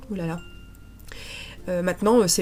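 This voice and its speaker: A woman speaks with music in the background. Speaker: scrapbooking crafter. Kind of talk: tutorial voice-over narration.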